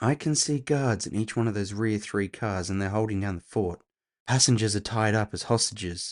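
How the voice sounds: A natural reading voice with ordinary pitch variation over a quiet background.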